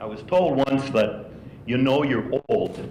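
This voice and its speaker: A man's lively intonation in audible room echo. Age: 80s+. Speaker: retired university administrator. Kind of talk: speech at a retiree breakfast.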